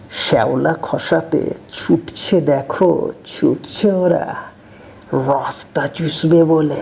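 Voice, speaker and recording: Over noticeable background noise, a woman speaks at a very deep, low pitch with fairly even intonation. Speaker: poet. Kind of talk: poetry reading.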